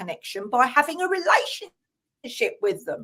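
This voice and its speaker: A woman's lively intonation with an English accent. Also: very clean recording, silent background. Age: 60s. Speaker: spiritual healer and author. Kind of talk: casual chat. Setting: live stream.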